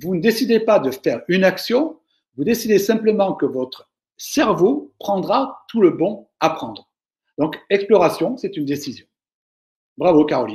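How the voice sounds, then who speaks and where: Pausing long and often, a man talks at a fairly slow pace in a high pitch, his voice swinging very widely in pitch. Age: 60s. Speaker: management speaker. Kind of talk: webinar Q&A. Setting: online webinar. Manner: hesitant, with fillers.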